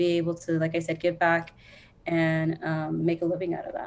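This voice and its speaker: A woman with an American accent talks in a fairly low pitch with a dark, mellow tone. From US Southwest (Phoenix, Arizona). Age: 30s. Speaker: social worker / workforce development professional. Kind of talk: casual podcast interview. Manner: fast; hesitant, many fillers.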